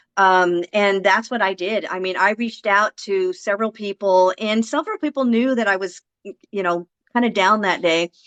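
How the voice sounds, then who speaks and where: Dry and close with no echo, a plain, everyday voice speaks at a moderate pace with ordinary pitch variation. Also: woman. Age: 60s. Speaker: affiliate marketer. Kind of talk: interview.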